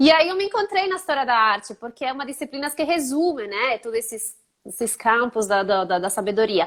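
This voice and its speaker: In a slight Italian accent, a woman talks at a fairly quick pace. Her high pitch moves in very wide swings. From Italy. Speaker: art historian. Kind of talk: interview. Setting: live stream.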